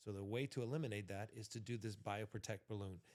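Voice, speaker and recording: At a fairly quick pace, a man talks in a normal speaking voice of medium pitch. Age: 40s. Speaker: entrepreneur and former MMA fighter. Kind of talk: casual chat.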